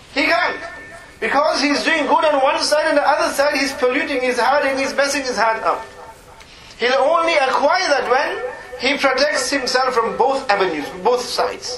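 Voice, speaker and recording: In a raised, projected voice, a man with an extremely high pitch speaks at a moderate pace with lively intonation, amid noticeable background noise and audible room echo. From northern England, Dewsbury. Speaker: Islamic scholar. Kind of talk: religious lecture.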